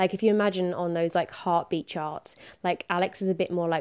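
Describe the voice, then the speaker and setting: Fairly low in pitch with fairly even intonation, a woman speaks with a southern English accent in a very clean recording with a silent background. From southern England. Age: 20s. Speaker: podcast host. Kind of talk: solo monologue podcast. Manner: casual, filler-heavy.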